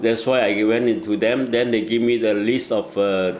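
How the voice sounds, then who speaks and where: Speaking at a moderate pace with fairly even intonation, a man of medium pitch is heard over noticeable background noise and audible room echo. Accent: Chinese. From Malaysia. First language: Mandarin Chinese. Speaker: asylum seeker and volunteer. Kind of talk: interview.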